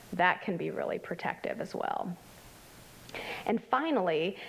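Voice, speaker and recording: A woman with a plain, everyday voice speaks at medium pitch and a moderate pace. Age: 50s. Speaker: clinical health psychologist presenting at a conference. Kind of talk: conference presentation. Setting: conference workshop with live audience. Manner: conversational with many fillers.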